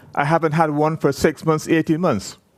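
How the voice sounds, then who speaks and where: Animated in tone, a man speaks with a Barbadian accent. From Barbados. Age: 70s. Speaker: person with Parkinson's sharing experience. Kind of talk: conference talk to audience. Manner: conversational, animated.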